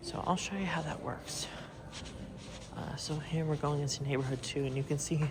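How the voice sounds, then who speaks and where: Noticeable background noise and a moderate pace. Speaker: mall explorer vlogger. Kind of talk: casual walking tour narration. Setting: indoors in a near-empty mall.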